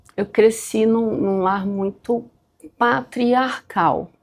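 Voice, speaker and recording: The speech from this female voice is very slow. Her voice sits fairly high and varies in pitch in an ordinary way. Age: 40s. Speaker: bank employee. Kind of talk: documentary interview.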